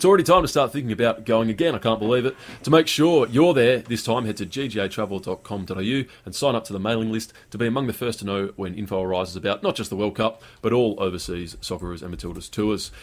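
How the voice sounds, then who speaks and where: Talking very fast with hardly any pauses, a man uses lively intonation at a medium pitch. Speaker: news reader. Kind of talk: news reading. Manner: clear, measured, formal.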